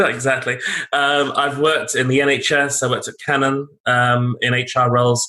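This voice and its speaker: A man with a London accent speaks at a moderate pace in a fairly high, bright and sharp voice. His intonation is monotone and flat, and his loudness stays very even. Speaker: HR and learning executive, author. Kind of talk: interview.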